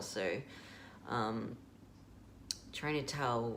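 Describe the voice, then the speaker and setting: This speaker has an Australian accent, and there is noticeable background noise. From Australia (Melbourne). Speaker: video blogger. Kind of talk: casual vlog update. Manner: halting, many fillers.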